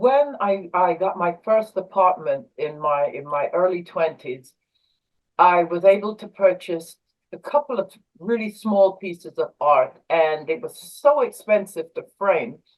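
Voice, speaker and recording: A woman with a British accent talks at a fairly slow pace, her medium pitch rising and falling in a lively way as her loudness swings widely. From England, East London. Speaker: artist and army veteran. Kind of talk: interview. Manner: hesitant, many fillers.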